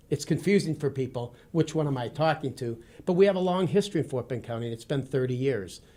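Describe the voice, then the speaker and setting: On a very clean recording with a silent background, a man with an American accent talks at a very fast pace with hardly any pauses, in a fairly high pitch with ordinary pitch variation and a dark, mellow, somewhat breathy tone. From Wisconsin, US Midwest. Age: 50s. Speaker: retired army officer and former police officer. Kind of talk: interview. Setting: studio.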